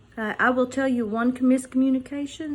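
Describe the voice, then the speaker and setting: This woman speaks loudly. Her pitch is high. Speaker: fired retail manager, hard of hearing. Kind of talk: personal testimony monologue. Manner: repetitive, halting with restarts.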